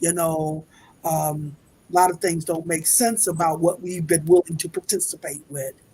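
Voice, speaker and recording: Speaking at a moderate pace, a woman has a fairly low, somewhat breathy voice. Her intonation stays fairly even. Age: 70s. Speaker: spiritual speaker. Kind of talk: interview.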